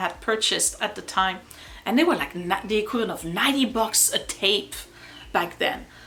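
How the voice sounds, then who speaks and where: With a slight French accent, a woman speaks at a fairly high pitch with ordinary pitch variation amid noticeable background noise. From France. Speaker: YouTuber. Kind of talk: casual chat. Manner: hesitant, many fillers.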